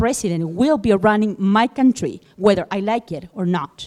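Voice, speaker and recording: A woman speaks in a dark, mellow tone at medium pitch. Her pitch swings very widely. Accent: Spanish. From Chile. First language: Spanish. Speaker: audience member. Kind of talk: audience question. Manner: halting.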